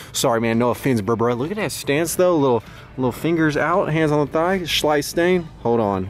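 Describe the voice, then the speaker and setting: With music in the background, a man speaks with lively intonation in a dry sound with no echo. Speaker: vintage clothing reseller. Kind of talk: casual vlog chat. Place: shop. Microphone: phone near.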